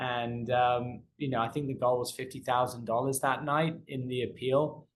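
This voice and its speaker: Somewhat breathy, a man talks in a monotone with flat intonation. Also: medium pitch for a man, moderate pace. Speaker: professional auctioneer and fundraising consultant. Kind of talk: interview answer.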